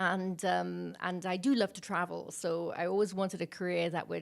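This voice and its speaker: The speaker has a British accent, and the recording is very clean with a silent background. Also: woman. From Wales, Milford Haven area. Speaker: major projects external relations leader. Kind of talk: interview.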